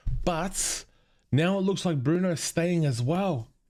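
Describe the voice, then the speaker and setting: The recording is very clean, the background silent. A man talks with a British accent and lively intonation. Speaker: football fan YouTuber. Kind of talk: casual video commentary. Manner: animated.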